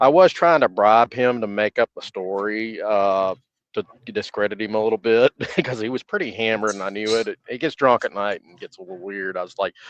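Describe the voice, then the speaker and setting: A man's medium-pitched voice with a Southern US accent, a fairly quick pace, ordinary pitch variation, big swings in loudness and a dry, close sound with no echo. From US South. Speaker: stream guest. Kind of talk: casual chat.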